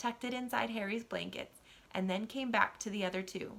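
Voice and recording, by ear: The pitch varies in an ordinary way as a natural voice reads aloud.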